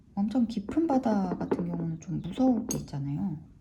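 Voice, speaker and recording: Noticeable background noise sits under the recording. A woman speaks with lively intonation. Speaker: watercolor art teacher. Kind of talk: tutorial. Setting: art studio. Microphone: room echo.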